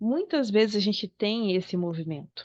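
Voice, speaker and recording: Lively intonation marks a woman's fairly slow delivery in an ordinary speaking voice. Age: 40s. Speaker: psychologist. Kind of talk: online talk.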